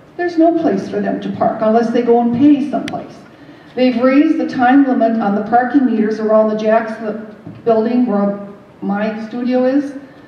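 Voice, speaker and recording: Over noticeable background noise and audible room echo, a woman speaks at a moderate pace in a fairly high pitch with ordinary pitch variation. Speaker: artist and local resident. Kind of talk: public meeting comment. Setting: community meeting in a theatre.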